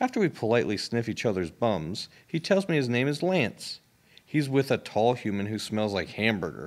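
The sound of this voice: Lively intonation in an unforced reading voice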